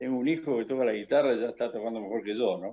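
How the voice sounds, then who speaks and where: A man of medium pitch speaks in a Rioplatense accent with ordinary pitch variation. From Argentina, Buenos Aires area. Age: 60s. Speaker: guitarist. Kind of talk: radio interview.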